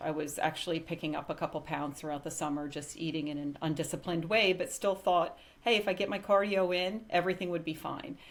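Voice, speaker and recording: In a very clean recording with a silent background, a woman with an unremarkable speaking voice and fairly low pitch talks at a fairly quick pace with ordinary pitch variation and hardly any pauses. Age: 60s. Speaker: semi-retired pharmaceutical executive, client success story. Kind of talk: interview testimony.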